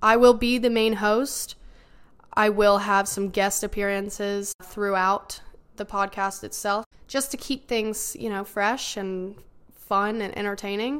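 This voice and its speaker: This woman speaks with a Southern US accent at a fairly slow pace. Her intonation stays fairly even. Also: medium pitch for a woman. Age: 20s. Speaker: podcast host, college student. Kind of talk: casual monologue.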